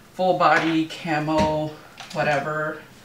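A woman's voice comes with audible room echo and a bit of light background noise. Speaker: beauty vlogger. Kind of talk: casual vlog chat. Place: home room. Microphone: phone near.

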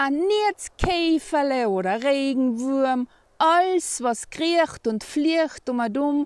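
A woman with a high pitch and lively intonation talks at a very slow pace. The sound is dry with no echo, and the background is quiet. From East Tyrol, Austria. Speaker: poem reciter. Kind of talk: dialect poetry reading. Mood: cheerful, warm. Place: open country. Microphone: phone near.

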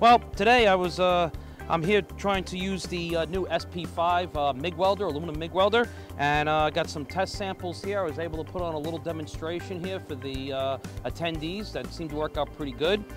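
A man's fairly quick speech, dry with no echo, over clear background music. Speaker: welding instructor. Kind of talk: tutorial. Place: hall.

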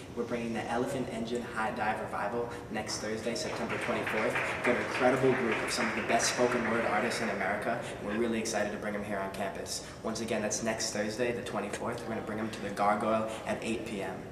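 Loud background noise fills the clip. An audible room echo is also present. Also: man. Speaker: college spoken word poet. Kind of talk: event promo talk to camera. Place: hall. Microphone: camera far.

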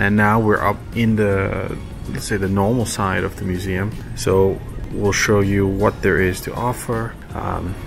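Over clear background music, a man with a fairly low pitch speaks at a fairly slow pace with fairly even intonation. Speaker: car vlogger. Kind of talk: casual vlog chat. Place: hall. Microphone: phone near.

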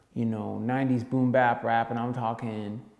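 A man's voice carries audible room echo over a quiet background. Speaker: music course instructor. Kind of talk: lecture. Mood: relaxed, casual. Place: empty room. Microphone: camera far.

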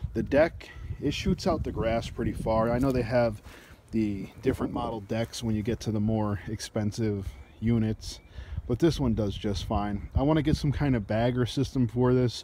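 A man with a dark, mellow tone speaks at a moderate pace and ordinary pitch variation. The sound is dry with no echo, over light background noise. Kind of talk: casual product review. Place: garden. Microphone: phone near.

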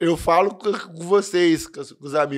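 In a normal speaking voice, a man talks at a fairly slow pace with fairly even intonation and fairly high pitch. The background is quiet. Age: 20s. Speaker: amateur percussionist and steelworker; podcast guest. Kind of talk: casual chat. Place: studio. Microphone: studio mic.

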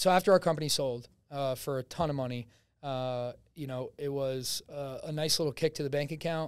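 A man with a New Jersey accent talks at a fairly high pitch and a fairly quick pace with fairly even intonation, on a very clean recording with a silent background. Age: 20s. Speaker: real estate agent and salesman. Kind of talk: casual interview. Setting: studio. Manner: loud.

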